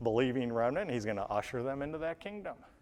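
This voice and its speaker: Over a quiet background, a man has a normal speaking voice at medium pitch with ordinary pitch variation. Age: 60s. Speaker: pastor. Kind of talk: sermon. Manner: casual, thinking aloud with fillers.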